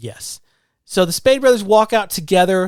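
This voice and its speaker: Lively intonation with a slight Southern US accent. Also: man. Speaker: podcast co-host. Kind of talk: casual chat.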